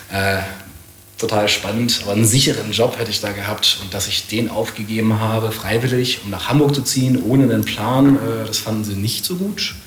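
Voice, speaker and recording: A fairly quick pace and fairly even intonation, with audible room echo and noticeable background noise. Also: man, medium pitch for a man. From northern Germany, rural Lower Saxony. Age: 30s. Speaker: entrepreneur and investor. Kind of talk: casual interview. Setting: guest's place in Hamburg.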